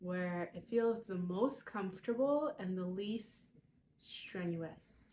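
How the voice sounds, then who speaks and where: Somewhat breathy and dark, mellow in tone, this voice moves at a very slow pace with ordinary pitch variation. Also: woman, medium pitch for a woman. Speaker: lifestyle vlogger. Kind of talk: guided breathing exercise; casual vlog.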